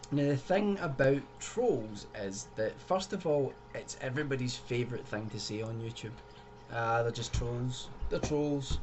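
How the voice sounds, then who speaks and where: Over noticeable background noise, a man with a Scottish accent and a medium pitch talks at a fairly slow pace with lively intonation. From Scotland, Glasgow. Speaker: YouTuber. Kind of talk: video commentary. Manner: casual, conversational.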